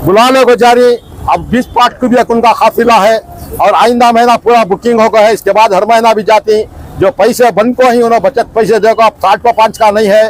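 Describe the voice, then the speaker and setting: A man with a high pitch speaks in a flat monotone at a moderate pace with very even loudness, the sound dry and close with no echo but with noticeable background noise. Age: 60s. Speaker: umrah pilgrim. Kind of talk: interview.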